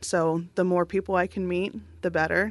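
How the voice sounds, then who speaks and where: In an ordinary speaking voice, a woman with an American accent talks at a fairly low pitch with fairly even intonation. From Southern California. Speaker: hospital foundation director. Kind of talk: interview.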